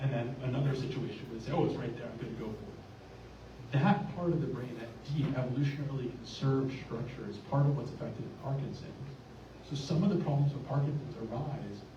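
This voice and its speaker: A medium-pitched man at a fairly quick pace, fairly even in intonation, amid noticeable background noise and audible room echo. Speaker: neurologist. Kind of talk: lecture. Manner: fast; loud. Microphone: cutting out.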